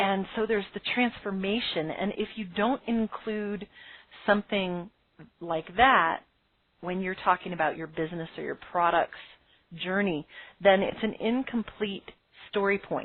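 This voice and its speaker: A woman's medium-pitched voice at a fairly slow pace, broken by long, frequent pauses. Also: ordinary pitch variation. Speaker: business coach, podcast host. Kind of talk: webinar lecture. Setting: live call with phone lines.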